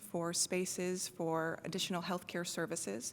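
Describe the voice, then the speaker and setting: This woman is soft-spoken, with a medium pitch. She talks at a moderate pace. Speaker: judicial candidate, prosecutor. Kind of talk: candidate forum answer.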